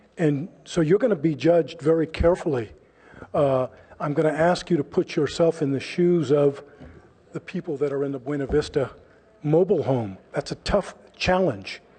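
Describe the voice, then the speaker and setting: Here is a man with an American accent, fairly high pitch, and a dark, mellow tone. He keeps a moderate pace with ordinary pitch variation. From California, Palo Alto area. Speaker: public commenter. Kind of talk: public comment speech.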